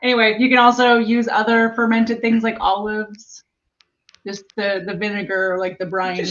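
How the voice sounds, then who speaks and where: Here a woman speaks at a moderate pace. Her fairly high voice stays flat and monotone. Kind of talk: casual conversational.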